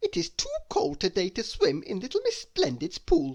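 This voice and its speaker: A man puts on a character voice pitched extremely high. He keeps a moderate pace. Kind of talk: bedtime story. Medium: read story.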